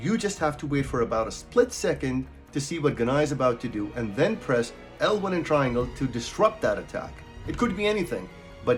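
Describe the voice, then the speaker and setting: Over music in the background, a man with a fairly high pitch talks at a fairly quick pace with very wide pitch swings. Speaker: gaming guide creator. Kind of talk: game tutorial narration.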